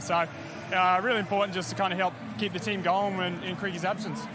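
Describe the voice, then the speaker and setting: Over noticeable background noise, a man speaks very fast in a raised, projected voice, the sound dry with no echo. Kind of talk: interview answer. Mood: pleased after a win. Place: stadium. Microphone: handheld.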